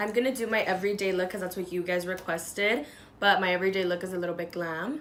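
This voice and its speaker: Amid noticeable background noise and audible room echo, a woman speaks at a very fast pace. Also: medium pitch for a woman, ordinary pitch variation. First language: not English. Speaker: beauty youtuber. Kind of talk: makeup tutorial chat.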